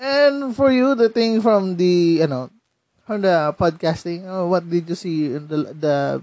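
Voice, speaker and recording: At a fairly slow pace, a man with a Filipino accent talks in a high pitch. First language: Tagalog. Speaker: podcast host. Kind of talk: casual interview. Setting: remote call.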